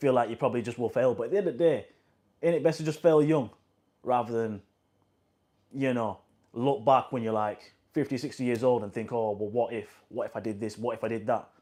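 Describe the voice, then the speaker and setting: In a West Yorkshire accent, the speaker talks fairly quickly in a dark, mellow tone with ordinary pitch variation and long, frequent pauses against a quiet background. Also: man, medium pitch for a man. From northern England, Huddersfield, West Yorkshire. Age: 20s. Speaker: vlogger. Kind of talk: casual motivational monologue. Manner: casual, repetitive.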